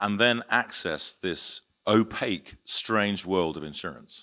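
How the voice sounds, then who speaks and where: A man with a British accent, bright, sharp tone and ordinary pitch variation. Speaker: insurance and reinsurance broker, conference panelist. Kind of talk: conference panel talk. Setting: conference panel with audience. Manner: hesitant, many fillers and restarts.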